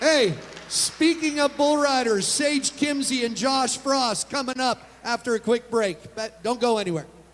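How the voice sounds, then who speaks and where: An extremely high-pitched male voice at a fairly slow pace, with ordinary pitch variation and noticeable background noise. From Wyoming. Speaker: talk show host. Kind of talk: casual chat.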